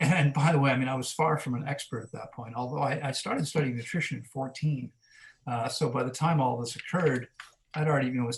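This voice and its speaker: Somewhat breathy, a man speaks with an American accent at a fairly quick pace. His intonation stays fairly even. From US Mid-Atlantic (Maryland, near Washington DC). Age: 50s. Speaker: fasting coach, wellness center director. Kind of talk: podcast interview. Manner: conversational, with frequent fillers.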